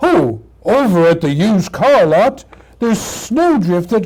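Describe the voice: A stretch of plain reading aloud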